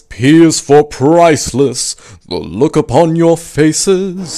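Putting on a character voice, a man speaks at a fairly slow pace in a fairly high pitch. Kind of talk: comic villain impression. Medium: comedy sketch. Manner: smug, theatrical, exasperated.

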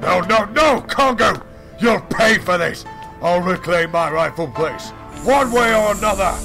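Over clear music in the background, a man projects a raised, high-pitched voice at a moderate pace. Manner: defensive, arrogant, then desperate shouting.

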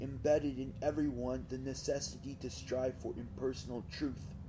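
A man's medium-pitched voice, dark and mellow in tone, with vocal fry and fairly even intonation. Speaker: audiobook reader. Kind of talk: audiobook reading. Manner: monotonous.

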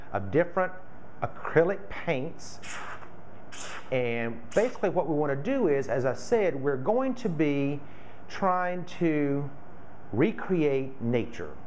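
Over light background noise, a man talks at a very slow pace with long, frequent pauses and lively intonation. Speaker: florist craft demonstrator. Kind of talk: tutorial. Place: home room. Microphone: camera far.

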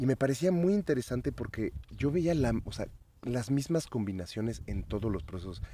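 A man's somewhat breathy voice at a medium pitch has a dark, mellow tone and very wide pitch swings. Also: moderate pace. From Mexico City. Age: 40s. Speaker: psychedelic activist and DJ. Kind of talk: casual chat. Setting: outdoors in a garden.

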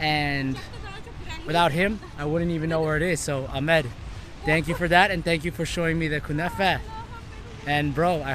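Crowd noise sits behind a man who speaks at a moderate pace with fairly even intonation. The sound is dry with no echo, and he leaves long, frequent pauses. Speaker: travel vlogger. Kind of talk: casual vlog chat. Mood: relaxed, grateful. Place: street. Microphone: phone near.

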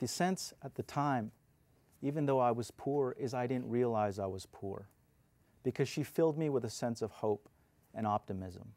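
A man's dark, mellow tone at a moderate pace, with ordinary pitch variation. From New Mexico, rural (Wagon Mound); New Mexico. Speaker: political candidate; candidate. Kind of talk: debate opening statement. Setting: televised debate. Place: studio. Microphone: lapel.

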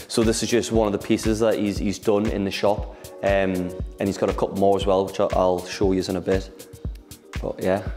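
A man speaks at a fairly quick pace with a fairly low pitch and flat, monotone intonation. Clear music plays in the background. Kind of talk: casual tour talk. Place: shop.

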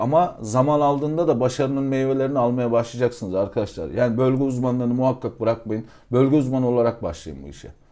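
Against a quiet background, a man with a dark, mellow tone talks at a very fast pace, his medium pitch varying in an ordinary way. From Aegean Turkey. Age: 30s. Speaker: real estate consultant. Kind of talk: casual chat.

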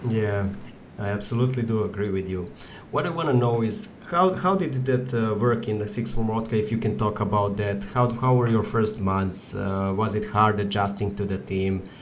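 A fairly low-pitched man at a moderate pace, with ordinary pitch variation, against noticeable background noise. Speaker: podcast host. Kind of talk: casual chat. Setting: video call.

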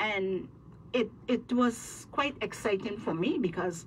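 Over light background noise, a woman with vocal fry speaks at a fairly slow pace. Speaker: guest. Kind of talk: interview answer, storytelling. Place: studio.

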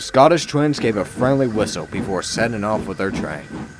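This is an unforced reading voice. It carries the text along without strain.

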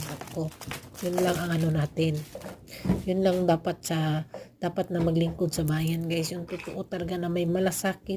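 A woman speaks with monotone, flat intonation. Noticeable background noise runs beneath her voice. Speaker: vlogger. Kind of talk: casual vlog voice-over.

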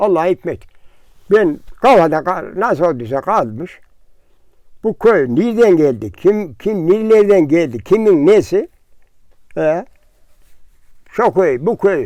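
A man's high-pitched voice, dark and mellow in tone, with lively intonation, a very slow pace and long, frequent pauses. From Central Anatolia, Turkey. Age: 80s+. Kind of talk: interview answer. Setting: outdoors.

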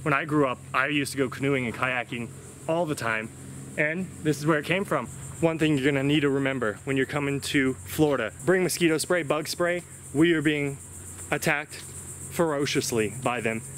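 Man at a moderate pace, ordinary pitch variation, light background noise, dry sound with no echo. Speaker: travel vlogger. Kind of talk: casual vlog commentary. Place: forest. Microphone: phone near.

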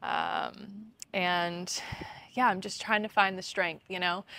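At a very slow pace, a woman speaks in a fairly low pitch, and the sound is dry with no echo. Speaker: yoga teacher. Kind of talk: yoga class instruction. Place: garden.

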